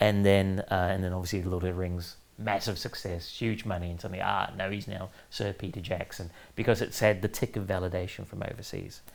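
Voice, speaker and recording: The man's pitch is very deep and low. He speaks in a monotone with flat intonation. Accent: New Zealand. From New Zealand, Auckland. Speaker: author and former comics editor. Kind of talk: interview. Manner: hesitant with fillers.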